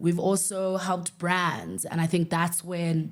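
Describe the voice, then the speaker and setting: A woman's fairly low voice in a South African accent, on a very clean recording with a silent background. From South Africa, Eastern Cape. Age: 30s. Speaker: podcast host, entrepreneur. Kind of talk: casual personal monologue.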